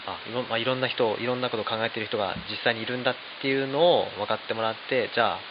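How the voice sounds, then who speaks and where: A man at medium pitch talking at a very fast pace amid noticeable background noise. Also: fairly even intonation. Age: 30s. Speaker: flour miller. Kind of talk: casual chat.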